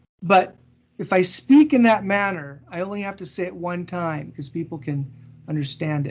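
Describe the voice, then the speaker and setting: Here is a man with an American accent and a high pitch. His intonation is lively, and his loudness swings a lot. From US West Coast (Seattle). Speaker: business consultant, guest speaker. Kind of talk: Q&A after presentation. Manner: slow, deliberate enunciation.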